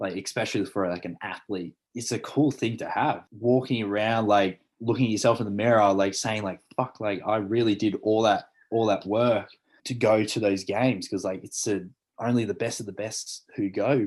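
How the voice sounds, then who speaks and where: A man with an Australian accent, fairly low pitch and moderate pace against a quiet background. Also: fairly even intonation. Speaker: elite swimmer. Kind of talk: casual chat.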